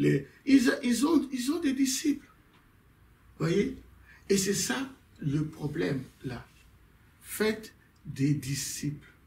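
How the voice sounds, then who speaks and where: A man's voice at a very slow pace, with very wide pitch swings. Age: 60s. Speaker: pastor. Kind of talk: casual chat. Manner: halting.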